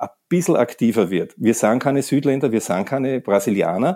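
On a very clean recording with a silent background, a man with a Viennese accent speaks at a medium pitch in a dark, mellow tone. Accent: Viennese Austrian German. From Austria, Vienna. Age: 60s. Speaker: sports centre manager and masters hammer thrower. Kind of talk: interview. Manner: halting, repeats words.

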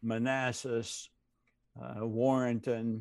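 A man speaks with an American accent. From US South. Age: 70s. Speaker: retired seminary professor and pastor. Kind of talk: casual interview.

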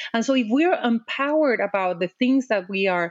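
A woman with a Mexican accent speaks at a moderate pace in a fairly high voice, her pitch swinging very widely, in a dry, close recording with no echo. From Mexico. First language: Spanish. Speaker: diplomat and advocate. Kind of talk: interview. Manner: animated.

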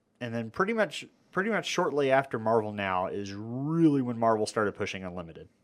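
Speaking in an unremarkable voice with an American accent, a man at medium pitch moves at a fairly quick pace with lively intonation in a very clean recording with a silent background. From Amarillo, Texas. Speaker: podcast host. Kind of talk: casual chat.

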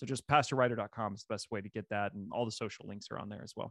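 Over a quiet background with a dry, close sound and no echo, a man with an American accent talks at a very fast pace with fairly even intonation. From Missouri. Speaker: pastor and author. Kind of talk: interview conversation.

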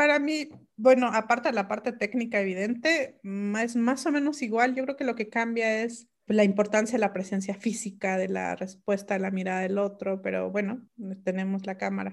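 The delivery moves at a moderate pace. The pitch variation is ordinary. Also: woman, fairly high pitch for a woman. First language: Mixe (speaking Spanish). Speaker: linguist and writer. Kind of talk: interview. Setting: video call. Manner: halting.

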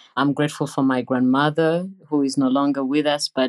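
This woman speaks with a Ugandan accent at a moderate pace. Her pitch is very deep and low. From Uganda (Entebbe). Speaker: nursing professor. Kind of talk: interview. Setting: remote call.

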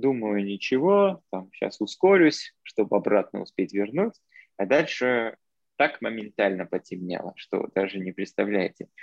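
At a fairly slow pace, a man speaks in a dry, close sound with no echo. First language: not Russian (speaking Russian). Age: young. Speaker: podcast guest, traveler. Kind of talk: casual chat. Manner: mixes English words into Russian.

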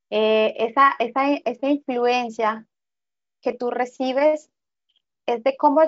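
A woman's high voice unfolds very slowly. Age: 40s. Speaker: spiritual guide. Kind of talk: interview.

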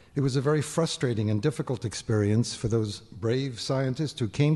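A man's somewhat breathy, dark and mellow voice at medium pitch, with ordinary pitch variation. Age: old. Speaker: retired scientist introducing speaker. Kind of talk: introduction speech.

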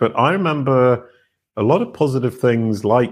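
In a British accent, a man talks at a fairly slow pace with ordinary pitch variation. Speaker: former musician turned online brand expert. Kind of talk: interview conversation. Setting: video call.

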